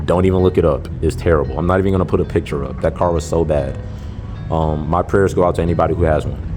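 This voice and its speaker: A man with a Louisiana accent talks at a very fast pace and a very deep, low pitch. His intonation is fairly even, with music in the background. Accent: US Southern (Louisiana). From South Louisiana. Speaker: car vlogger. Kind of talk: casual Q&A vlog reading viewer comments.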